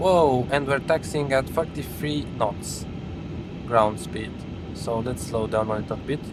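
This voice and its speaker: In a Romanian accent, the speaker talks at a fairly slow pace with lively intonation, with audible room echo and music in the background. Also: man, medium pitch for a man. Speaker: flight simulator live streamer. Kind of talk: casual live-stream chat and flight commentary. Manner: hesitant, many fillers.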